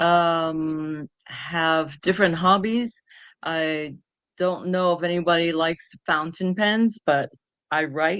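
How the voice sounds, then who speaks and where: Using a New York accent, a woman speaks at a very slow pace in a fairly low pitch with fairly even intonation. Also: quiet background. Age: 60s. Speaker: patient advocate. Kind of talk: interview. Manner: halting.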